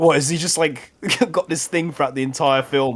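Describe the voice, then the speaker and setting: His speech moves fairly quickly. The man has a British accent. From Britain. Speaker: podcast co-host. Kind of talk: casual chat. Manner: animated.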